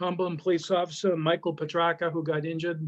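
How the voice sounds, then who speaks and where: Against a quiet background, a man speaks at a high pitch and moderate pace. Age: 60s. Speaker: school committee chairman. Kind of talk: public meeting remarks.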